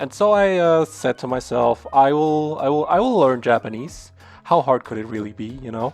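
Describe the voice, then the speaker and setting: A man's fairly high-pitched voice at a moderate pace, with lively intonation and big swings in loudness over a quiet background. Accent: German. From Germany. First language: German. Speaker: language learner, vlogger. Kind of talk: casual vlog. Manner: stuttering, many fillers.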